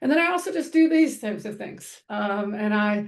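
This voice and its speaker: A woman with an American accent speaks at a fairly high pitch. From US, military bases (Air Force family). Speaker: counselor and trainer. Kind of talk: online training presentation. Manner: fast; hesitant fillers (um, uh).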